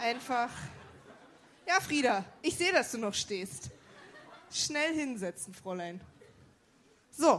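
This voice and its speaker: A high-pitched woman at a very slow pace, with very wide pitch swings and long, frequent pauses. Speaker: show announcer. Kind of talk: live announcement. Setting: stage with audience.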